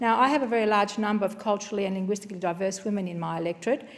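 A woman speaks very fast with an Australian accent. Her intonation stays fairly even. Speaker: member of parliament. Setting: parliament chamber. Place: hall. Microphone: podium.

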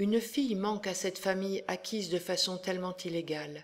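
At a fairly slow pace, a woman with an unremarkable speaking voice speaks at medium pitch with ordinary pitch variation. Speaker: educational presenter. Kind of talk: audiobook-style literary reading of a novel extract, after a lecture-like presentation. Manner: measured, steady and expressive, with even literary diction; clear and formal, like a teacher.

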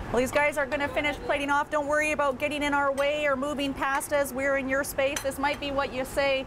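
A woman speaks at a fairly quick pace with a high pitch and little pitch movement. Background noise is clearly audible.

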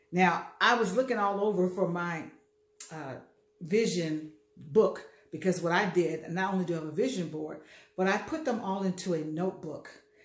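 A woman's voice at a moderate pace, with ordinary pitch variation and audible room echo. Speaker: motivational speaker. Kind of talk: casual vlog chat. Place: kitchen. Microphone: phone near.

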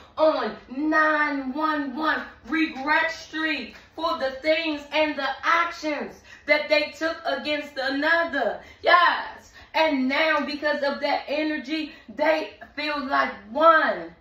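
In a room with audible echo, a woman uses a raised, projected voice with a bright, sharp tone, fairly even intonation and a very slow pace. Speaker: tarot reader. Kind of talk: tarot reading commentary. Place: home room.

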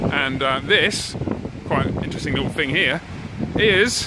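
The speech comes at a fairly slow pace over loud background noise. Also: man, dry sound with no echo. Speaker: tour guide filming. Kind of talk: casual vlog tour commentary. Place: street. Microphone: phone near.

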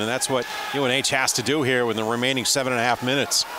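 Over noticeable background noise, a man speaks very fast in a flat monotone. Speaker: color analyst. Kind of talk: live sports color commentary. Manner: conversational, chatty, laughs.

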